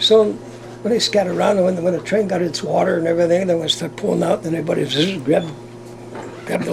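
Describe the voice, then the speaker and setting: This man talks at a very fast pace with an American accent and a high pitch. His intonation is lively, and there is noticeable background noise. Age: 80s+. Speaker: retired navy veteran and former circus worker. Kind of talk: interview answer. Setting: moving railcar. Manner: lively, entertaining.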